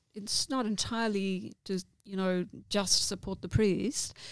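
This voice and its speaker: A woman speaks fairly slowly at a medium pitch in a plain, everyday voice. The sound is dry and close with no echo, on a very clean recording with a silent background. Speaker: parish council chairperson. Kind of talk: interview.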